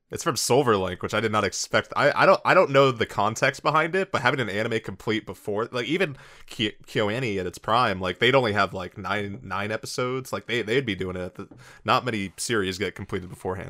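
The tone is bright and sharp, heard up close and dry with no echo in a very clean recording against a silent background. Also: man, fairly low pitch for a man, ordinary pitch variation, fairly quick pace. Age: 20s. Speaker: anime podcast host. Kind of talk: casual chat.

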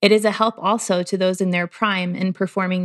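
A woman's plain, everyday voice at a medium pitch and moderate pace, with fairly even intonation, a dry, close sound with no echo and a quiet background. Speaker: podcast co-host. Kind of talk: casual faith-based conversation.

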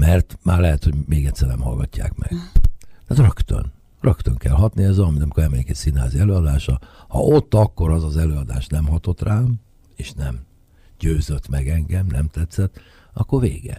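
A man's very deep, low voice with lively intonation at a moderate pace, dry and close with no echo, over noticeable background noise. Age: 60s. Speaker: jazz saxophonist and composer. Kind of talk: radio interview.

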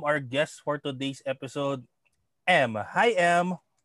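A man with a Filipino accent speaks very slowly at a fairly high pitch, with ordinary pitch variation and a dry, close sound that has no echo. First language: Tagalog. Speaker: podcast host. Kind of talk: casual interview in Taglish. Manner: halting, many fillers.

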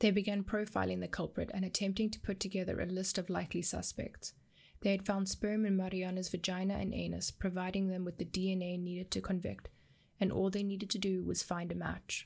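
Somewhat breathy speech with monotone, flat intonation moves at a fairly quick pace in a very clean recording with a silent background. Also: woman, medium pitch for a woman. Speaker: true crime podcast host. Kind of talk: scripted narration.

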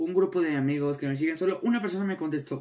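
A man talks at a moderate pace in a normal speaking voice. His pitch variation is ordinary. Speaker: podcast host. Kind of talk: casual solo podcast.

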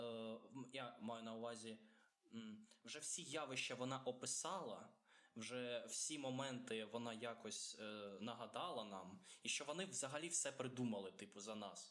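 A man with a Russian accent speaks at a fairly slow pace. There is audible room echo. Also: medium pitch for a man, ordinary pitch variation. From Ukraine. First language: Russian (speaking Ukrainian). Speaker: podcast co-host. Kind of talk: casual chat.

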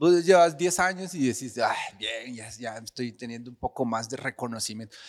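With a Costa Rican accent, a man talks at a moderate pace with very wide pitch swings. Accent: Costa Rican-sounding Spanish. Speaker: clown and performing artist. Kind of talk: casual interview chat.

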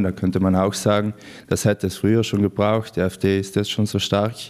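Fairly quick delivery in a monotone, flat intonation. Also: man. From South Tyrol, Brenner area. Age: 20s. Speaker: activist and student. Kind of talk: interview.

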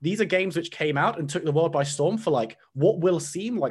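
A man talks at a moderate pace with lively intonation, a plain, everyday voice. The recording is very clean, with a silent background. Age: 20s. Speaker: esports caster. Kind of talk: podcast interview.

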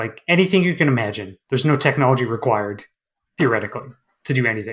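On a very clean recording with a silent background, a man with a Canadian accent speaks in a somewhat breathy voice with lively intonation. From northern Manitoba, Canada. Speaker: game developer and comic artist. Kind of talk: casual interview.

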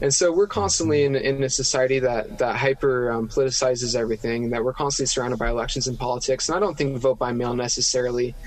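A man at medium pitch with an American accent, very fast pace, and noticeable background noise. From central Utah, US. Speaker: opinion writer. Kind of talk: interview.

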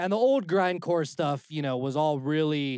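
In a normal speaking voice with an American accent, the speaker uses lively intonation at a fairly slow pace in a dry, close recording with no echo. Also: man. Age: 30s. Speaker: music producer. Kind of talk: casual chat.

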